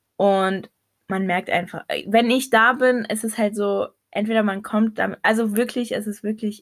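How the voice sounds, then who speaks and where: Monotone, flat intonation at a fairly slow pace on a very clean recording with a silent background. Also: woman. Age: 20s. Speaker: podcast co-host. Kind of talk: casual chat.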